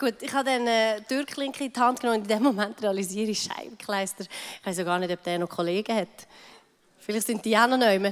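A woman with an unremarkable speaking voice talks at a fairly quick pace, fairly high in pitch, with ordinary pitch variation. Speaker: pastor's wife. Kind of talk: testimony.

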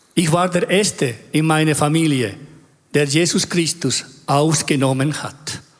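A man's fairly high voice with a Spanish accent, fairly slow in pace, with ordinary pitch variation. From Chile. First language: Spanish (speaking German). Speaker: church member. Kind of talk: testimony.

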